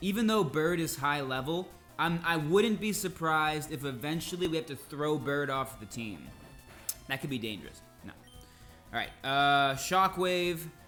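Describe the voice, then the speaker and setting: Music plays in the background as a man speaks at a fairly high pitch with ordinary pitch variation. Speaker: English teacher and gamer. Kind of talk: gameplay commentary for learners. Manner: slow.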